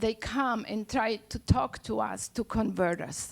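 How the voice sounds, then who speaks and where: Speaking at a very slow pace with lively intonation, a woman with an Argentine accent has a fairly high pitch. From Argentina, Buenos Aires. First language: Spanish. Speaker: poet and storyteller. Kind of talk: live storytelling.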